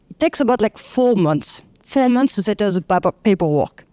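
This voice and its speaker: A woman's medium-pitched voice, dark and mellow in tone, with lively intonation, a fairly quick pace and a dry, close sound free of echo. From France. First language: French. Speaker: clinical researcher. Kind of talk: panel discussion.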